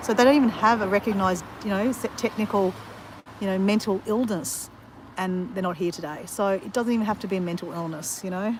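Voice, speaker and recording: A woman with an Australian accent, medium in pitch, at a fairly quick pace with ordinary pitch variation. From Australia, Southeast Queensland (north of Brisbane). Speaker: livestreamer vlogger. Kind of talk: casual chat. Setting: outdoors, walking on beach during livestream. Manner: conversational, rambling with fillers.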